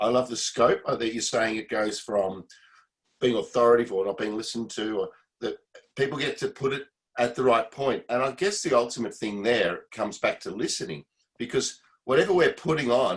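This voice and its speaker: With a plain, everyday voice, a man talks at a fairly quick pace and a medium pitch with ordinary pitch variation. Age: 40s. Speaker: musician and manager on a workshop call. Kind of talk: casual chat.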